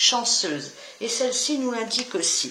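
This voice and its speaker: Amid noticeable background noise and audible room echo, a woman speaks at a fairly high pitch with ordinary pitch variation. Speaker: tarot reader. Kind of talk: tarot reading to camera. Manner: stumbling with fillers.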